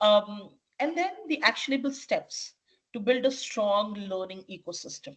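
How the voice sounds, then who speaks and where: A woman talks at a fairly slow pace with a fairly high, somewhat breathy voice. Her intonation is lively. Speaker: leadership coach and corporate trainer. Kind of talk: webinar presentation. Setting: online webinar.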